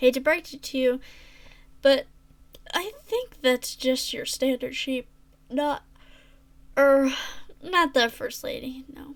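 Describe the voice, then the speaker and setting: A woman's gruff, high-pitched put-on character voice, fairly slow, with long, frequent pauses. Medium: read story. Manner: gruff, polite.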